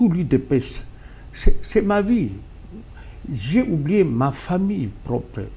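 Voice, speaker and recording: A man's fairly high voice, dark and mellow in tone with vocal fry, very wide pitch swings, a very slow pace and long, frequent pauses. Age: 70s. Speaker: political party founder. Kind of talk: talk show interview.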